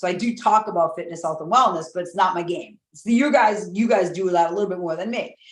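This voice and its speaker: Moving at a fairly quick pace, a woman speaks at medium pitch with lively intonation. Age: 50s. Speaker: high performance coach. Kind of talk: casual chat. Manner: animated.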